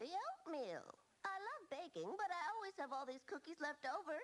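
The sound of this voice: A woman's cartoonish character voice, extremely high in pitch, with lively intonation at a moderate pace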